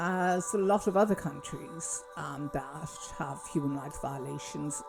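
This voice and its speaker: Over music in the background, a woman with a Kerry accent talks at a fairly slow pace in a very deep, low voice with very wide pitch swings. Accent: Irish (Kerry). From Kerry, south-west Ireland. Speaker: doctor. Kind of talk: casual talk to camera. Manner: hesitant, many fillers.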